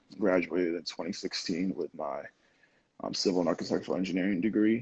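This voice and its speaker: The speaker is a man. His speech carries a New Jersey accent. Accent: American, New Jersey. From New Jersey, US (born in Lagos, Nigeria, moved at six). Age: 20s. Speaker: photographer and engineer. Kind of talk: podcast interview.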